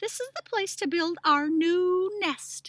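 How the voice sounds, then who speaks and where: This woman uses a put-on character voice that is squeaky and extremely high in pitch. She talks at a fairly slow pace. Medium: read story.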